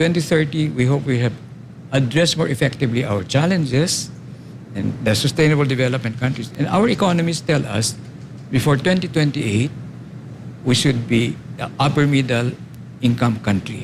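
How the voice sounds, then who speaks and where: Over noticeable background noise, a man with a medium-pitched voice talks at a fairly quick pace, using ordinary pitch variation and long, frequent pauses. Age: 70s. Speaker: architect and urban planner. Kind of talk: interview.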